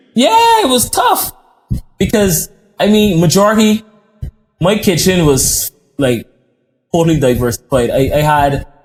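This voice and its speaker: Over background music, a speaker with an American accent talks at a fairly slow pace with lively intonation, very even loudness, and long, frequent pauses. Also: man, high pitch for a man. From Barbados. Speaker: chef. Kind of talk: podcast interview.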